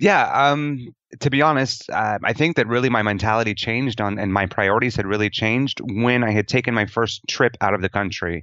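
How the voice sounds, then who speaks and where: A man in a plain, everyday voice talks at a fairly quick pace with hardly any pauses, medium pitch and ordinary pitch variation. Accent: General American. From Denver, Colorado, US. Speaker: expat teacher. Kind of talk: interview.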